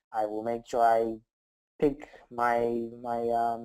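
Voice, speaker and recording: A man's dark, mellow voice at a medium pitch. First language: not English. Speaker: software developer. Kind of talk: interview.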